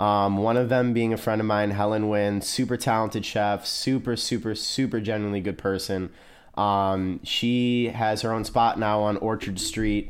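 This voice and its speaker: Man with an American accent, fairly low pitch, monotone delivery, very even loudness, moderate pace. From US Midwest, small-town Ohio. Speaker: chef. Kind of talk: casual chat. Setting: studio. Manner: talkative.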